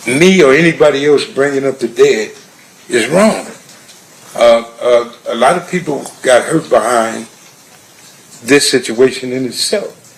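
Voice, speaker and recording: A man with a fairly high pitch, speaking at a fairly slow pace with long, frequent pauses, over noticeable background noise. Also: ordinary pitch variation. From Compton, California. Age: 60s. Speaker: trial witness. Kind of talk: courtroom testimony. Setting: courtroom. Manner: halting, repetitive.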